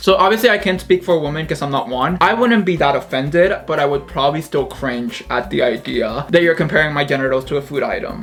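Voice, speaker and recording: A man with a fairly high voice talks at a very fast clip with lively intonation over noticeable background noise. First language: Spanish. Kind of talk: casual talk to camera.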